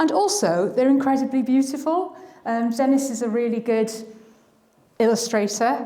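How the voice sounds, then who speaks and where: A woman with a South Wales accent at a moderate pace. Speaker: historian and museum volunteer. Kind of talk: public talk. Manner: hesitant, with fillers.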